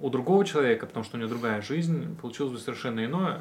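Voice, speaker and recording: Through noticeable background noise, a man's intonation comes across as lively. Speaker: podcast host, religious studies graduate. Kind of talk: casual interview.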